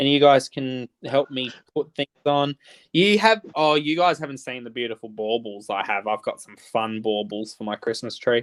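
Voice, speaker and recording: A man with an Australian accent speaks at a medium pitch and moderate pace against a quiet background, in a dry, close sound with no echo. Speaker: livestreamer. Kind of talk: casual chat. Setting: livestream.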